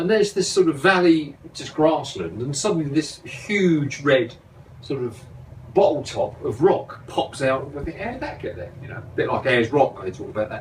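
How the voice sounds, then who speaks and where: Noticeable background noise surrounds a man speaking at a fairly high pitch, with very wide pitch swings and big swings in loudness. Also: moderate pace. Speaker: motorcycle travel vlogger. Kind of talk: casual chat.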